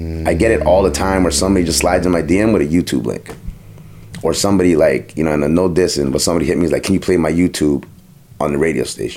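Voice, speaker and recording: With a Toronto accent, a man with a very deep, low pitch talks very fast with ordinary pitch variation over noticeable background noise. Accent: Toronto urban English. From Toronto, Jane and Finch. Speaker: DJ and radio host. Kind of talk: casual interview chat.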